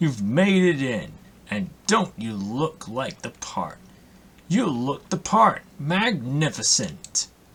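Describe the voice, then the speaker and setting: A put-on character voice moves at a very slow pace with very wide pitch swings. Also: man, fairly high pitch for a man. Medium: game stream.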